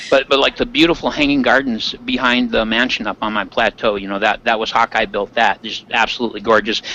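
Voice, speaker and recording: With hardly any pauses and at a very fast pace, a man speaks at a medium pitch with ordinary variation, in a dry, close sound with no echo and noticeable background noise. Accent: American. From Michigan Upper Peninsula. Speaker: Minecraft server player, YouTuber. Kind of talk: casual interview chat.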